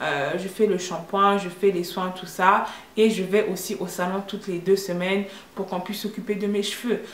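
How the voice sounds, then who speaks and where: The voice has a monotone, flat intonation at a moderate pace. Both noticeable background noise and audible room echo come through. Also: woman. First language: English (speaking French). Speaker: vlogger. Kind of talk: opinion vlog monologue. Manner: hesitant, many fillers.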